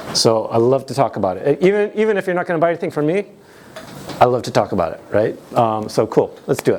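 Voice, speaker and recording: Over noticeable background noise, a man with an American accent talks at a very fast pace in an animated tone, his fairly high pitch swinging very widely. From United States. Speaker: tech conference speaker. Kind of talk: conference talk. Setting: stage with audience.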